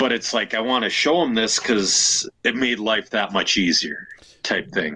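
Talking at a moderate pace, a man with an Upper Midwest accent has a medium pitch and a bright, sharp tone. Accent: Upper Midwest (Minnesota). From Minnesota, Elk River. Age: 30s. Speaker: RC racer and podcast host. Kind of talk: casual chat.

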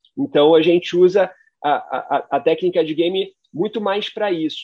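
The man talks at a high pitch. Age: 40s. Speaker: entrepreneur, former corporate executive. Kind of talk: casual chat.

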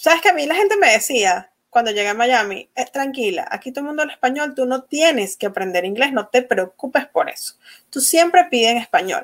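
A woman with a high pitch speaks at a fairly quick pace. Her pitch swings very widely. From Venezuela. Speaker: energy-work facilitator and course creator. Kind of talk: interview.

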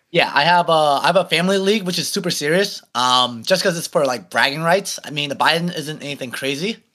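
A man with an American accent talks at a moderate pace in a bright, sharp tone with lively intonation on a very clean recording with a silent background. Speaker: podcast guest, local school committee candidate. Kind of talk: casual chat.

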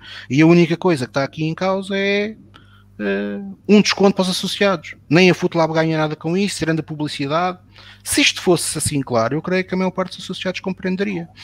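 Talking at a fairly quick pace, a man with a high pitch uses lively intonation in a dry, close sound with no echo. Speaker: football commentator. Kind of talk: panel discussion. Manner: animated.

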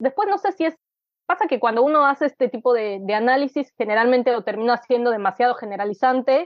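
A woman is speaking. Her pace is very fast. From Mexico City. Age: 30s. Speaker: writer. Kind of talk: casual interview.

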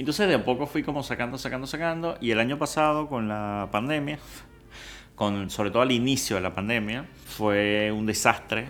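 A man speaks at a medium pitch with ordinary pitch variation. He has an ordinary speaking voice. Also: moderate pace. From Venezuela. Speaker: food influencer and home cook. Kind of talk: casual interview chat.

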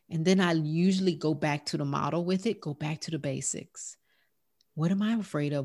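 A woman with a Southern US accent speaks at a moderate pace in a very deep, low voice with fairly even intonation, in a very clean recording with a silent background. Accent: country, twangy Southern US. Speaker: life coach and healthcare provider. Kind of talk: podcast interview.

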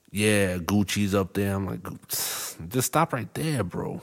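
Lively intonation carries a man's fairly low voice with a Boston accent, in a very clean recording with a silent background. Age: 30s. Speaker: podcast host. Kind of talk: casual chat. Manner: halting, repeats words.

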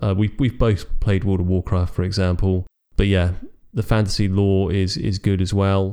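On a very clean recording with a silent background, a man speaks at a fairly quick pace. His fairly low voice has a dark, mellow tone. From Britain. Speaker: podcast co-host. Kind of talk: casual chat.

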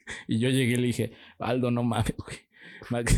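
A male speaker, very clean recording, silent background. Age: 20s. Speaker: podcast co-host. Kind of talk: casual chat.

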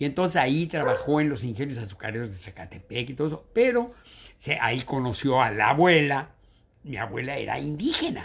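With lively intonation, a man talks in a somewhat breathy voice. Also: fairly high pitch for a man, fairly quick pace. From Mexico City. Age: 80s. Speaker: retired biologist, teacher and school founder. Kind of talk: casual interview, life story.

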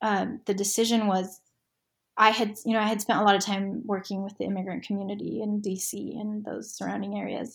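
At a moderate pace, a woman with a medium-pitched, somewhat breathy voice speaks in a very clean recording over a silent background. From Argentina, then Utah US. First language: Spanish. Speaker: nonprofit board member and lawyer. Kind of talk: casual interview chat.

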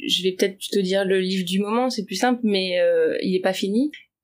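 It is a normal speaking voice at a moderate pace with ordinary pitch variation. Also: woman. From Paris region, France. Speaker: artist and writer. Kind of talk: interview.

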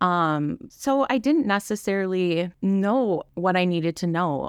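A woman with a Wisconsin accent against a quiet background. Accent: Upper Midwest (Wisconsin). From Wisconsin, Kaukauna. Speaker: church volunteer and early childhood educator. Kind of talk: testimony.

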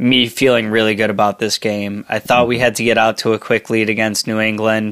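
A man at medium pitch talks at a fairly quick pace with monotone, flat intonation and very even loudness, in a dry, close sound with no echo. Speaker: sports podcast host. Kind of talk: casual chat. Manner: halting, many fillers.

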